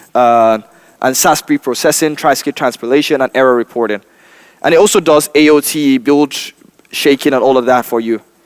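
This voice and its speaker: Speaking at a fairly quick pace with a Nigerian accent, a man uses a medium pitch and ordinary pitch variation in a dry, close sound with no echo. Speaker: software developer and trainer. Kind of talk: conference tech talk. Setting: stage with audience. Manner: casual, joking.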